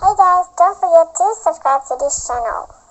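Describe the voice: An extremely high, put-on character voice from a woman, delivered at a moderate pace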